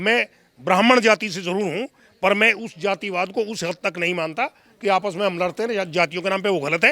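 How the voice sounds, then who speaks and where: A man raises and projects his high-pitched voice, bright and sharp in tone, at a moderate pace with ordinary pitch variation in a dry, close sound with no echo. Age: 70s. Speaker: interviewee. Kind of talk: interview. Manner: formal.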